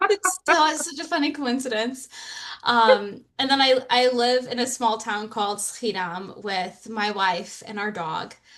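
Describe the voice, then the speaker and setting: The woman speaks at a fairly slow pace, her high voice carrying lively intonation. Noticeable background noise runs underneath. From US, moved among several states from age seven. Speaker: psychologist. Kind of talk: interview.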